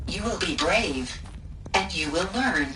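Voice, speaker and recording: A female-sounding, put-on character voice at a fairly slow pace over loud background noise. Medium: machinima. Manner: soft, measured, programmed.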